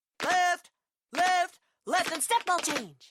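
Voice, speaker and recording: Extremely high pitch in a put-on character voice. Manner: barking, commanding.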